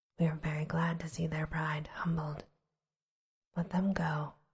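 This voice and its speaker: Soft-spoken and whispering, the voice moves at a fairly slow pace. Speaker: audiobook / bedtime story narrator. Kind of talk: ASMR bedtime story reading. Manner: soft-spoken, whispery.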